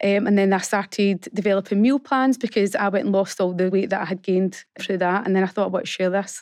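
A woman with a normal speaking voice talks at a medium pitch, keeping her loudness very even and leaving hardly any pauses. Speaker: fitness business founder. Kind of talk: radio interview. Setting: studio.

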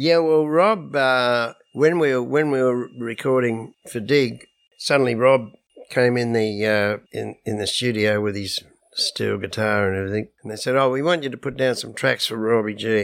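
With an Australian accent, a man speaks at medium pitch and a moderate pace, his pitch varying in an ordinary way. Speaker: musician. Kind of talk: casual chat.

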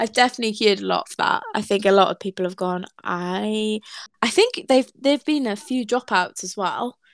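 The sound is dry and close with no echo as a speaker with a Welsh accent talks at a moderate pace with ordinary pitch variation. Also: woman, fairly high pitch for a woman. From Wales. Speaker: podcast host. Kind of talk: casual interview.

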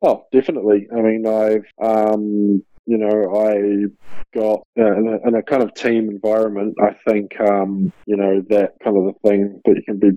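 In a New Zealand accent, a man speaks at a moderate pace with a fairly low pitch and monotone, flat intonation. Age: 30s. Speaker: professional basketball player. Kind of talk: interview. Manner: halting, many fillers.

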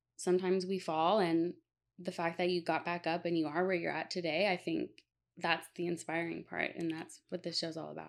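A woman speaks at a fairly quick pace with a fairly low pitch, vocal fry and monotone, flat intonation. The recording is very clean, with a silent background. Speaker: podcast host. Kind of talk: casual interview.

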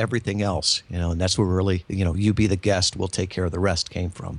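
A man with an American accent has a plain, everyday voice at fairly low pitch and a fairly quick pace. The recording is very clean, the background silent. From Michigan. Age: 50s. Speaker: marketing consultant and podcast guest. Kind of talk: interview.

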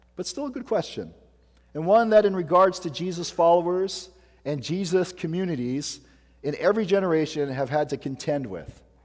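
Recorded very cleanly against a silent background, a man talks at a moderate pace in a high pitch with lively intonation. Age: 40s. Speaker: pastor. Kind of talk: sermon.

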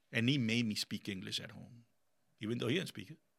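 Medium in pitch with a bright, sharp tone and vocal fry, a man talks at a fairly quick pace. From Colombia, raised in Miami. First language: Spanish. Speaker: business owner and military veteran. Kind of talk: casual interview chat. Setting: studio. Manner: animated.

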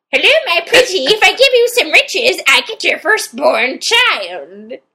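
An extremely high-pitched put-on character voice with very wide pitch swings at a moderate pace. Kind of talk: impression. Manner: creepy, scheming.

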